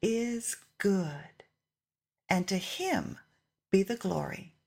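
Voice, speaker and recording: A woman speaks at a very slow pace, somewhat breathy, with lively intonation. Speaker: family member reading testimony. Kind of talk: reading aloud. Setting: church.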